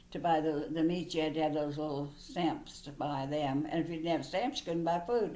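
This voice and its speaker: A woman speaks with a very deep, low pitch, a dark, mellow tone and ordinary pitch variation, with hardly any pauses. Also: moderate pace. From Missouri, USA. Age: 80s+. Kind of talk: interview answer.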